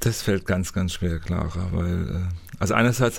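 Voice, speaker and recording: A man talks fairly quickly, noticeable background noise audible throughout. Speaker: culture reporter, podcast co-host. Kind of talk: casual interview chat. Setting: recording studio at a music college.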